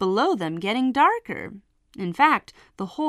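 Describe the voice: The clip is plain reading aloud over a quiet background.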